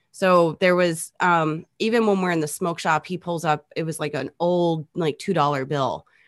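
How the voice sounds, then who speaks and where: A woman speaks in a normal speaking voice at a fairly low pitch and a moderate pace, with hardly any pauses. The sound is dry and close with no echo, and the background is quiet. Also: fairly even intonation. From near St. Louis, Missouri. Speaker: electronic musician. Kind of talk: casual chat.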